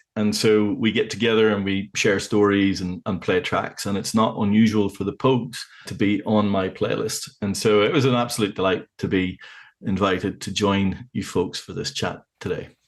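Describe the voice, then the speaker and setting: Against a quiet background, a man with a Northern Irish accent talks at a moderate pace in a fairly low pitch with fairly even intonation. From Northern Ireland, County Tyrone. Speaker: vinyl club organiser, podcast guest. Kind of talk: casual chat.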